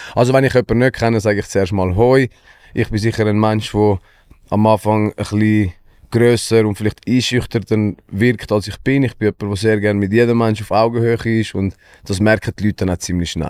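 Dry and close with no echo, this recording has a man with a fairly low pitch and fairly even intonation talking at a fairly quick pace in an ordinary speaking voice. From Switzerland, Wetzikon. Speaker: musician. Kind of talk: casual chat.

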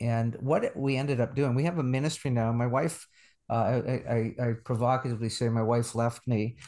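In a quiet background, a man with a plain, everyday voice talks at a medium pitch and a moderate pace, his intonation fairly even. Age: 60s. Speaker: pastor and theology professor. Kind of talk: interview.

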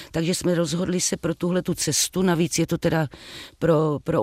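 The sound is dry and close with no echo as a woman speaks at a fairly low pitch in a monotone, flat way. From Moravia, Czech Republic (Třebíč). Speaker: actress. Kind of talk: interview. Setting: remote studio link.

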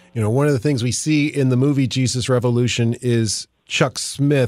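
A man speaks in a normal speaking voice on a very clean recording with a silent background. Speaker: radio host. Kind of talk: radio interview.

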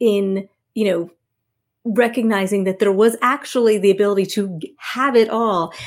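With a New Jersey accent, a woman speaks at a medium pitch. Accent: New Jersey American. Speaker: networking expert and author. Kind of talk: interview.

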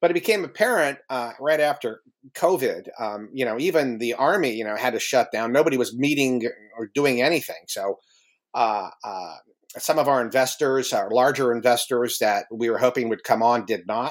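Speaking with an American accent, a man keeps a medium pitch, a moderate pace and ordinary pitch variation. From US Midwest, northeastern Ohio. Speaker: former intelligence officer and UFO organization co-founder. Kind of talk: interview. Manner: halting, many fillers.

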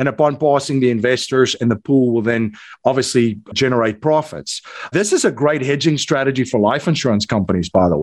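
This voice has a South African accent and lively intonation. The pace is fairly quick. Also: man, medium pitch for a man. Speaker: investor and podcast host. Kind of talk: interview.

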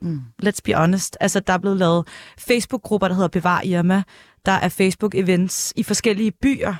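A woman with an unremarkable speaking voice at medium pitch, ordinary pitch variation and a moderate pace, in a dry, close sound with no echo. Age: 20s. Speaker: former journalist, press officer. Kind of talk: casual chat. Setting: studio.

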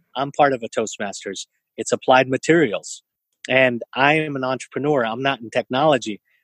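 A man talks at a fairly quick pace in a plain, everyday voice with an American accent. His medium pitch has fairly even intonation, and the sound is dry and close with no echo. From US West Coast, East San Jose, California. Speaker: entrepreneur and event organizer. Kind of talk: interview conversation.

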